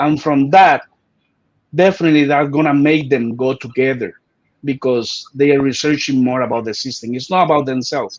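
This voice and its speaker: Fairly even intonation with a Spanish accent. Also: man. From Puerto Rico. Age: 40s. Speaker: martial arts grandmaster. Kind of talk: interview.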